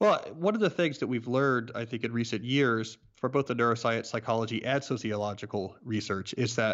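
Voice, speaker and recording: A man speaks at a fairly quick pace with hardly any pauses, in an ordinary speaking voice. His pitch is medium, with ordinary pitch variation. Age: 30s. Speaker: author. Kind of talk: interview.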